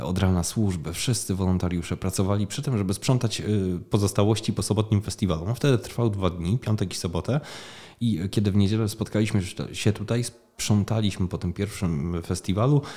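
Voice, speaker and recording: Heard in a very clean recording with a silent background, a man with a dark, mellow tone speaks at a fairly low pitch and fairly quick pace, his pitch varying in an ordinary way. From southern Poland, Opole region (Głuchołazy). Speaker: festival founder. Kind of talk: interview. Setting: small room beside a festival stage.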